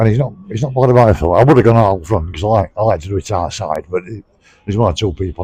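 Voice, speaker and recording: A man talks at a very fast pace in a Sheffield accent, his tone dark and mellow. His voice is somewhat breathy, with ordinary pitch variation. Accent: Yorkshire (Sheffield). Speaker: pub crawl vlogger. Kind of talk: casual vlog talk to camera. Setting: in a pub.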